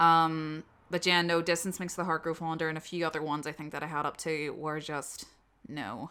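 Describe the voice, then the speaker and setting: In a very clean recording with a silent background, a woman with a Northern Irish accent speaks fairly quickly in a monotone, flat delivery, her very deep, low voice bright and sharp in tone. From Northern Ireland. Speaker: audio drama voice actor. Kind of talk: casual Q&A chat. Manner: casual, filler-heavy.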